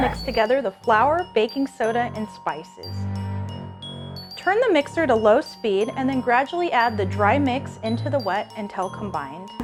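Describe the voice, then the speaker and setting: A woman speaking at a moderate pace over music in the background. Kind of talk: cooking tutorial instructions.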